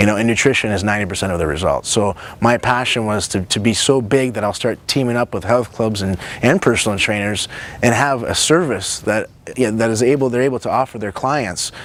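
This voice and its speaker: Man at a medium pitch and a fairly quick pace. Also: ordinary pitch variation. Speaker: nutritionist and show host. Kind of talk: personal introduction to camera. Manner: fast; animated.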